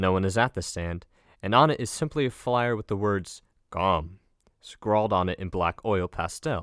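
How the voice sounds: A natural reading voice, with ordinary pitch variation, sounds against a quiet background.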